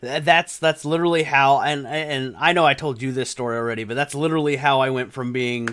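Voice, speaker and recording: A man with an ordinary speaking voice talks at a fairly quick pace with hardly any pauses. His pitch is fairly high and his intonation fairly even. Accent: American. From Texas. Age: 30s. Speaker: gaming YouTuber. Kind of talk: casual interview chat.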